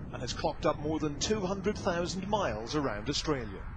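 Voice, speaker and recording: Noticeable background noise sits behind a man whose high pitch carries lively intonation. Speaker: TV news correspondent. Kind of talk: TV news report.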